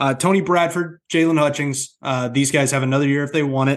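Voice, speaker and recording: An unremarkable speaking voice from a man at medium pitch, fairly quick pace and fairly even intonation, over a quiet background. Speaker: sports podcast host. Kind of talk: casual chat.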